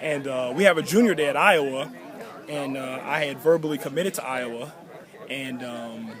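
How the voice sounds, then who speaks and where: With crowd noise behind him and audible room echo, a man talks at a fairly high pitch with ordinary pitch variation. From Chicago, Illinois (born in Nigeria). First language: Yoruba. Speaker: college football player. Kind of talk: interview.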